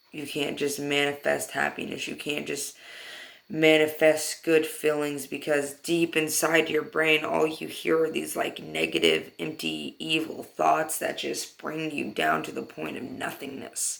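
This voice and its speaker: Over noticeable background noise, the speaker talks at a fairly slow pace. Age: 20s. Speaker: vlogger, mental health advocate. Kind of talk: personal vlog monologue. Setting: parents' garage at night. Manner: halting, repeats words.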